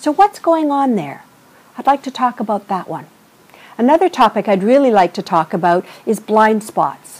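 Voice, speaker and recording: Pitch rises and falls very widely. The pace stays moderate. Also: woman, fairly high pitch for a woman. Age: 60s. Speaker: vlogger, trainer and consultant. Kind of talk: video blog monologue.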